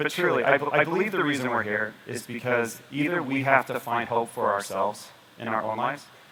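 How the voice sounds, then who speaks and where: Noticeable background noise surrounds a man speaking at a fairly quick pace. His medium pitch shows ordinary variation. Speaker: doctor giving a health presentation. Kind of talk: presentation to an audience. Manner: animated, motivational; lowered voice for drama.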